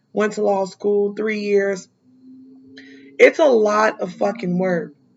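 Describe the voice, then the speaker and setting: A woman speaks at a fairly slow pace with a medium pitch. Her intonation is monotone and flat, with music in the background. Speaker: criminal defense attorney. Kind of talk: casual interview chat.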